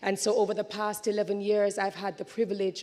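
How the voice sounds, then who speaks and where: A woman speaks in a medium-pitched voice. Noticeable background noise runs underneath. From Jamaica. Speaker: event host. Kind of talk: conference hosting speech. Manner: animated.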